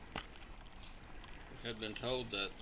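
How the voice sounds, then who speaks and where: A man's flat, monotone delivery with an American accent, noticeable background noise and audible room echo. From southern West Virginia. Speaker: metal detecting hobbyist. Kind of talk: video narration. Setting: outdoors.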